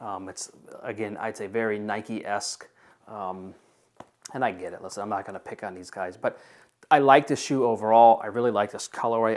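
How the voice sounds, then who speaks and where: An unremarkable speaking voice from a man, medium in pitch, with ordinary pitch variation and a fairly quick pace. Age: 40s. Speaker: shoe reviewer. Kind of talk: product review. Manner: casual, with many filler words. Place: home room.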